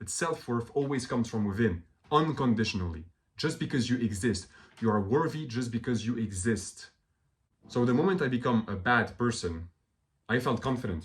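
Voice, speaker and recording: A man speaks at a medium pitch, somewhat breathy. His pace is moderate and his intonation lively. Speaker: self-help video creator. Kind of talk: motivational monologue. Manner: animated.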